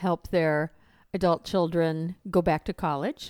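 A woman speaks in an ordinary speaking voice with an American accent, her pitch fairly low. The sound is dry and close, with no echo. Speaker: financial radio host. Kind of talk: radio ad pitch, upbeat promo read of phone number and free review offer. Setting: radio studio. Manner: bright, clear, repetitive.

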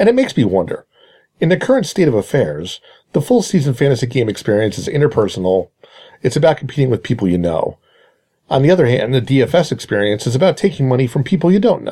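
A man talks at a very fast pace with a dark, mellow tone. His voice has vocal fry and very wide pitch swings. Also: medium pitch for a man. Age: 40s. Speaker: fantasy baseball columnist. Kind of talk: scripted narration.

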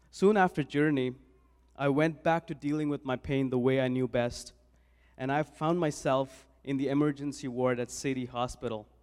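Very clean recording, silent background, and a man at a moderate pace. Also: fairly high pitch for a man, fairly even intonation. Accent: Indian. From India (New Delhi). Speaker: church volunteer. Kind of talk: testimony. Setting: church.

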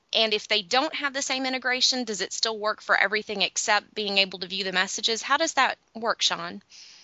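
A woman with an unremarkable speaking voice talks at a fairly quick pace with hardly any pauses. Her pitch varies in an ordinary way. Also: fairly high pitch for a woman. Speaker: business development manager, guest host. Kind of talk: casual chat.

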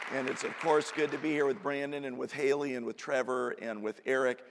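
Noticeable background noise sits behind a man who talks at a fairly quick pace with ordinary pitch variation. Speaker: pastor. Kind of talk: sermon. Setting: stage with audience.

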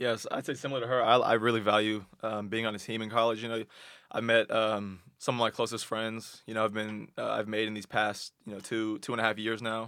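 This man's voice sits at a medium pitch. His intonation is monotone and flat. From Texas, Austin. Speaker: college athlete. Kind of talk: casual chat.

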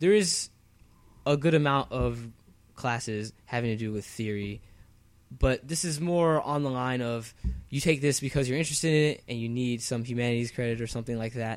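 The man has an ordinary speaking voice at a medium pitch. He moves at a fairly quick pace with ordinary pitch variation. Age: 20s. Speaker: podcast co-host, university student. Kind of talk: casual chat.

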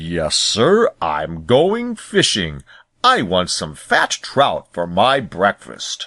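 Using a put-on character voice, a man rumbles at a fairly low pitch. He goes at a very slow pace against a quiet background.

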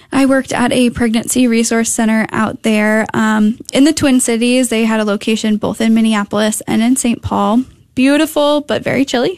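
This woman has an American accent, a fairly high pitch, and an ordinary speaking voice. She talks at a moderate pace with hardly any pauses, fairly even intonation, and very even loudness. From Connecticut. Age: 20s. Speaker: pregnancy center development director. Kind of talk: radio interview.

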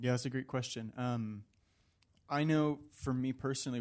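Over a quiet background, a man with an American accent and a normal speaking voice talks at a fairly quick pace and medium pitch, with fairly even intonation. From Virginia, US. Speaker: seminary student and Bible study leader. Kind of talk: panel discussion.

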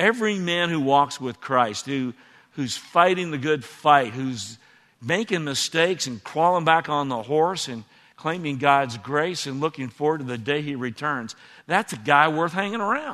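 Here is an ordinary speaking voice from a man with a fairly high pitch. He talks at a moderate pace with lively intonation. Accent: American. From Texas. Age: 60s. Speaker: former church elder. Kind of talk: onstage interview. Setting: church stage with audience.

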